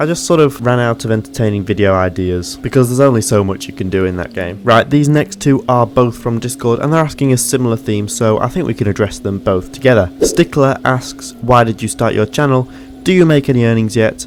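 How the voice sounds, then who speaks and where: With music in the background, a man with a Yorkshire accent talks at a fairly quick pace with hardly any pauses. His medium pitch varies in an ordinary way. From Yorkshire, northern England. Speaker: gaming YouTuber. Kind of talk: Q&A video, casual monologue.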